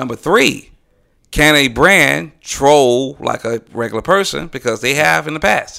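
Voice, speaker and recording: The voice is bright and sharp, with vocal fry. Its intonation is lively. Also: man, medium pitch for a man, very clean recording, silent background. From Atlanta, US South. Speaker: graphic designer. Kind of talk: casual chat.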